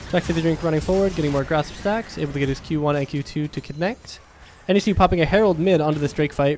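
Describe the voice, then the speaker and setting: A man at a fairly high pitch, talking very fast with ordinary pitch variation, music in the background. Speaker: esports caster. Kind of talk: live commentary. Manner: loud, yelling at big plays.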